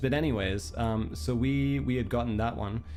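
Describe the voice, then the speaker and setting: Music plays in the background as a man speaks. His pitch moves in very wide swings. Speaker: virtual streamer. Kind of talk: casual livestream storytelling. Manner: hesitant, many fillers.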